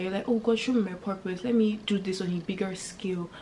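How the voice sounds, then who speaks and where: A woman talks at a fairly quick pace with a medium pitch and an animated tone. Noticeable background noise runs behind her. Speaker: faith and lifestyle YouTuber. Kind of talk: casual vlog talk to camera. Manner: fast.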